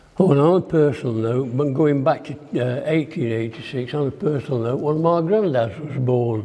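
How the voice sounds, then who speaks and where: Noticeable background noise behind a man's fairly high voice, at a fairly slow pace with ordinary pitch variation. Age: 80s+. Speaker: observatory founding member. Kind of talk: ceremony speech.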